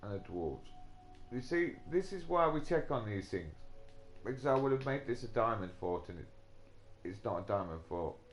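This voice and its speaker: Medium-pitched with very wide pitch swings, a man talks at a moderate pace with long, frequent pauses, music in the background and audible room echo. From England. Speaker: gaming live streamer. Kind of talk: casual live gameplay commentary. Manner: hesitant, many fillers.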